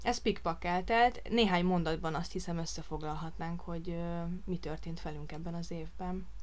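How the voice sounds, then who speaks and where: A woman at a moderate pace, with audible room echo. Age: 30s. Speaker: podcast co-host, lab technician and new mother. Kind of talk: casual chat.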